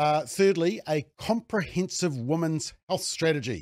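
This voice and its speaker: On a very clean recording with a silent background, a man with a New Zealand accent talks at a fairly slow pace. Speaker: political commentator. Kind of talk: angry rant. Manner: sarcastic; indignant, mocking.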